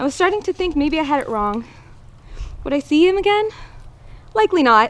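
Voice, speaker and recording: Loud and at an extremely high pitch, a woman talks at a fairly quick pace with very wide pitch swings. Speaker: bride reading wedding vows, air force veteran. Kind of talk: wedding vows speech.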